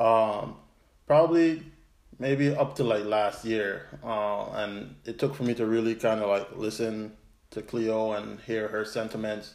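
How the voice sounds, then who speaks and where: This man talks at a fairly slow pace, his medium pitch showing ordinary pitch variation. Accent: American. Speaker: podcast co-host. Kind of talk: casual chat. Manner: energetic.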